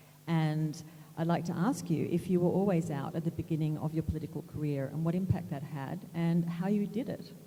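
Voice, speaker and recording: A woman with an Australian accent speaks at a fairly quick pace in a fairly low, somewhat breathy voice. Her tone is dark and mellow, and her intonation stays fairly even. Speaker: moderator, magazine editor. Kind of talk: panel moderation.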